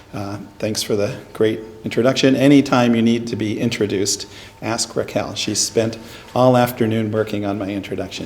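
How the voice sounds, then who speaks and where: At a medium pitch, a man speaks at a moderate pace with fairly even intonation. Noticeable background noise and audible room echo are present. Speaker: neuroscience professor. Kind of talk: lecture. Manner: loud.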